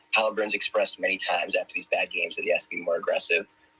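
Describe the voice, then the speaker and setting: A man with an extremely high pitch talks very fast in a raised, projected voice. The sound is dry and close with no echo, but noticeable background noise comes through. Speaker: sports betting guest analyst. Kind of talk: sports betting pick breakdown. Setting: live audio room stream.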